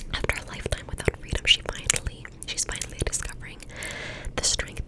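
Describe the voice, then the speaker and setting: A woman whispers while noticeable noise fills the background. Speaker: ASMR creator. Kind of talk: ASMR book reading. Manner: whispered, soft.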